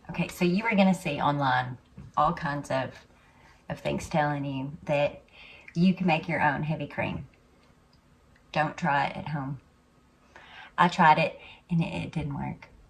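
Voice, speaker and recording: With an Arkansas accent, a woman speaks at a very deep, low pitch, somewhat breathy, with ordinary pitch variation and long, frequent pauses. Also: fairly slow pace. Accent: Southern US (Arkansas). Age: old. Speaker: home cook. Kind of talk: casual cooking video talk to camera. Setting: home kitchen.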